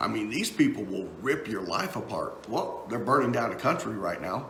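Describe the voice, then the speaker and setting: Noticeable background noise and audible room echo accompany a man with a Texan accent speaking at a moderate pace. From Texas. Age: 50s. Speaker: political talk show host and musician. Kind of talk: casual live-stream commentary. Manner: halting, many fillers and repeats.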